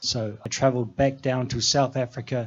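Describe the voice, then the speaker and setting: Speaking in a New Zealand accent, a man keeps a medium pitch and fairly even intonation. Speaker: mountain trekker and former safari guide. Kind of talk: talk show interview.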